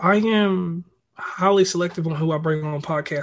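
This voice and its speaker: An ordinary speaking voice from a man, with fairly even intonation. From central Virginia (Lynchburg). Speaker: podcaster. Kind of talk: casual chat.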